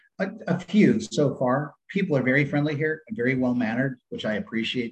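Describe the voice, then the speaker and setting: Here is a man with an American accent and a normal speaking voice. His intonation is lively and his pace moderate. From San Diego, California. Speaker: retired Navy SEAL, firearms instructor. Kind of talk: interview.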